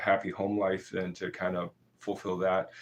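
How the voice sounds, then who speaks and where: At a moderate pace, a man is speaking. He has an American accent. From southern Maine, US. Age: 40s. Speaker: martial arts instructor. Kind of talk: live stream Q&A. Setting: live stream. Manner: halting, many fillers.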